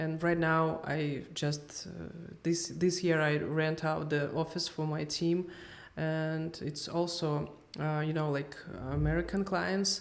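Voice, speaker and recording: With audible room echo, a woman with a non-native accent and a very deep, low voice speaks very slowly in a monotone, flat intonation. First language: not English. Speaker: PR agency owner. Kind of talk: casual interview chat. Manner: halting, hesitant.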